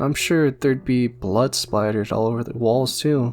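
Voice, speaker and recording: A moderate pace with music in the background. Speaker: gaming video creator. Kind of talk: casual commentary rant.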